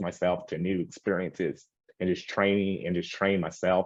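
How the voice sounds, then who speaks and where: A man with an American accent and a very deep, low pitch. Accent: rural country. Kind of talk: group discussion. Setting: video call. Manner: halting.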